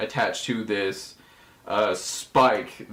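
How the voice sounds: The voice heard is a natural reading voice.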